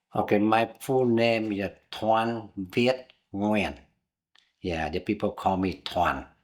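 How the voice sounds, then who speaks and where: On a very clean recording with a silent background, a man speaks at a very slow pace in a fairly low pitch, with ordinary pitch variation. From southern Vietnam, Binh Duong province near Saigon. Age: 70s. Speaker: interviewee, immigrant. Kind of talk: oral history interview.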